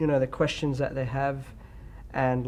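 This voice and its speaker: Australian-accented speech from a man, medium in pitch. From Australia (Perth). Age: 20s. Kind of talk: interview.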